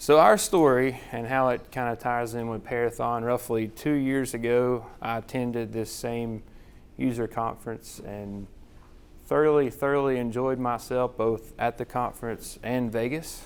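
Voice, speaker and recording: Someone with a Southern US accent speaks at a moderate pace, with fairly even intonation. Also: man, medium pitch for a man. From US South. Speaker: hospital chief financial officer. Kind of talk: conference presentation. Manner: casual, repetitive phrasing.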